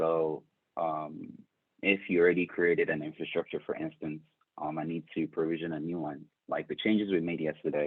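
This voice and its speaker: A man talks with a very deep, low pitch and a monotone, flat intonation. His pace is fairly quick. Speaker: tech instructor. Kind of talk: lecture. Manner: hesitant, many fillers.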